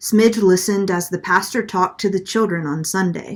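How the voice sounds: Reading in a natural voice.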